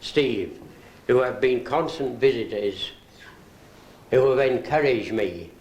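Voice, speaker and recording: The voice belongs to a man. The room gives it an audible echo. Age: 80s+. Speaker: retired orchestral percussionist. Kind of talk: birthday party speech. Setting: birthday gathering. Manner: formal.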